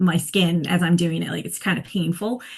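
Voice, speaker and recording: A woman with an American accent, somewhat breathy, at a moderate pace. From Blue Ridge Mountains of Virginia. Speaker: fiction writer. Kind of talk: podcast interview answer.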